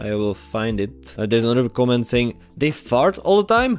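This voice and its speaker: Music in the background behind a man at medium pitch, talking at a fairly quick pace. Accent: Czech. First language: Czech. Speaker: YouTuber. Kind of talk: casual Q&A vlog.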